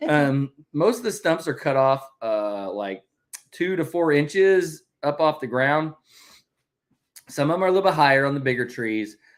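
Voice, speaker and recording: On a very clean recording with a silent background, a man with a fairly high voice and a Southern US accent speaks at a moderate pace with lively intonation and long, frequent pauses. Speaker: family vlogger, homesteader. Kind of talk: casual chat. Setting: livestream. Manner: loud.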